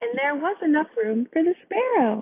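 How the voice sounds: A woman speaks at a fairly slow pace. Her pitch sits high and makes big swings.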